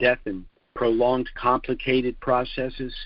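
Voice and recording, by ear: This man talks slowly. His pitch sits in the medium range.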